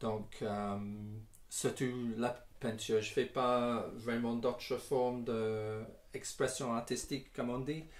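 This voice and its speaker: At a very slow pace, a man talks at medium pitch, with audible room echo. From England, Northamptonshire. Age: 60s. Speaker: singer-songwriter and guitarist. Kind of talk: interview answers. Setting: garage. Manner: halting, many hesitations.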